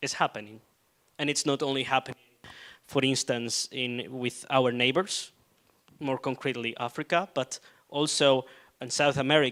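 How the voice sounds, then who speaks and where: In a Spanish accent, a man of medium pitch talks at a moderate pace with fairly even intonation and long, frequent pauses, in a dry, close sound with no echo. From southern Spain. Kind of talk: panel debate answer. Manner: hesitant, many fillers.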